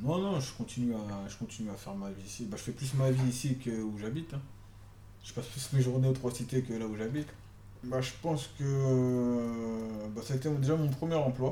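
Audible room echo follows a man whose moderate pace comes with ordinary pitch variation. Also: medium pitch for a man. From Paris suburbs, France. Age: 30s. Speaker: social worker. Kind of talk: interview. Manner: halting.

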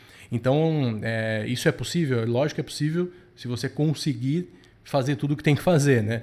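An ordinary speaking voice comes through at a moderate pace with ordinary pitch variation on a very clean recording with a silent background. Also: man, medium pitch for a man. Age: 40s. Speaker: productivity podcast host. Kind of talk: casual chat.

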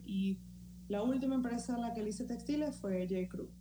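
Noticeable background noise and audible room echo fill the clip. A woman speaks at a fairly quick pace. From Valencia, Venezuela. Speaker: illustrator. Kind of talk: casual interview.

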